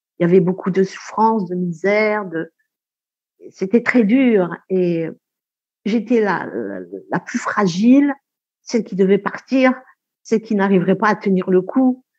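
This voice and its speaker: A woman at medium pitch with ordinary pitch variation, fairly slow pace and long, frequent pauses. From Algeria. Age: 60s. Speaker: retired midwife. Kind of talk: testimony.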